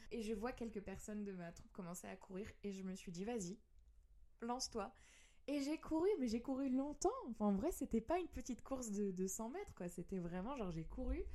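This woman has a fairly high pitch and a dark, mellow tone. She talks at a fairly quick pace with lively intonation. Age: 30s. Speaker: singer. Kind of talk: casual chat.

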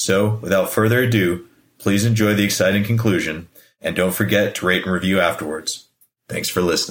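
An unremarkable speaking voice from a man, fairly low in pitch, at a fairly quick pace with fairly even intonation. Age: 30s. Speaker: podcast host. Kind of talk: interview; scripted intro.

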